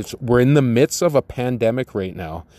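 An ordinary speaking voice, male, with a medium pitch, ordinary pitch variation and a moderate pace. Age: 40s. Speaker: podcast host, former prisoner and life coach. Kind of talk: solo podcast monologue. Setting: recording outdoors. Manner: casual, conversational with fillers.

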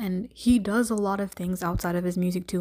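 A dark, mellow voice with a Canadian accent at a moderate pace, on a very clean recording with a silent background. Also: woman. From Canada, Greater Toronto Area. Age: 20s. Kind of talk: solo podcast monologue. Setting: home recording. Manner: casual, frequent fillers.

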